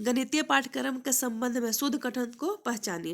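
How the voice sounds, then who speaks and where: A woman speaks at a moderate pace in a high-pitched voice. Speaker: maths teacher. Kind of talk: exam prep tutorial.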